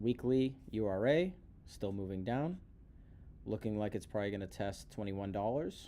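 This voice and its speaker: Here a man speaks with a fairly low pitch and a dark, mellow tone. His pace is moderate, and his pitch varies in an ordinary way. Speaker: stock market commentator. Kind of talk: market analysis video.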